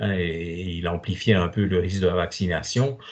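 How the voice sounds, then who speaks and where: A man's very deep, low, somewhat breathy voice with fairly even intonation. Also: quiet background. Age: 70s. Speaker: doctor. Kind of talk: Q&A in online talk. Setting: online video conference. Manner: hesitant, many fillers.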